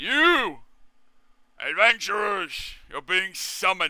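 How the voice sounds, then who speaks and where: A put-on character voice at a very slow pace. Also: man, high pitch for a man. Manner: commanding, loud.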